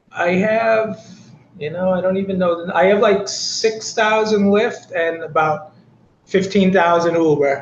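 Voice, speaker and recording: This man with an American accent talks at a moderate pace, and audible room echo surrounds his voice. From Boston, Massachusetts. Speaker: rideshare driver. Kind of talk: interview.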